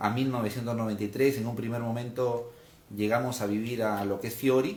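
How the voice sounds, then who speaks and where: Noticeable background noise and audible room echo surround a man at a medium pitch. He speaks at a fairly quick pace with fairly even intonation. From Peru, Lima. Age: 30s. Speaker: political candidate. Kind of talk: interview. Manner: hesitant fillers.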